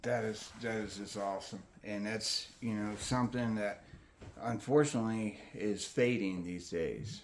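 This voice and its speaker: A man's normal speaking voice at a fairly slow pace with fairly even intonation. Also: fairly low pitch for a man. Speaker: channel host / interviewer. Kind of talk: interviewer asking questions in a casual conversation.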